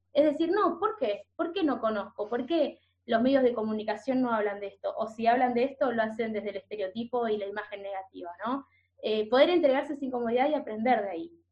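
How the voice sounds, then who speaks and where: A woman speaks with a porteño accent at a fairly quick pace. Her pitch is high and her intonation lively. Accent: porteño Rioplatense Spanish. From Buenos Aires, Argentina. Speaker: culture content creator. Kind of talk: casual interview.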